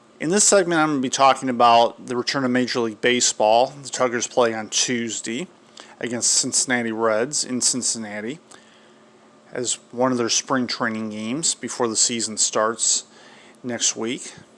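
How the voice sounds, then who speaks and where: Through noticeable background noise, a man talks at a medium pitch and a moderate pace with fairly even intonation. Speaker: sports show host. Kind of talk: sports commentary monologue. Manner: may mispronounce words, less fluent.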